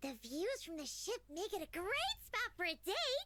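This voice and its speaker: A woman's put-on character voice, squeaky and extremely high, with very wide pitch swings at a moderate pace over light background noise. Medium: video game. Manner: talks about herself in third person.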